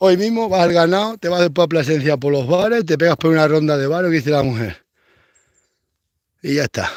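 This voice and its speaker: Here a man speaks at a moderate pace. His tone is animated and his intonation lively. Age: 40s. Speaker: rural vlogger, goat farmer. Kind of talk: casual vlog monologue.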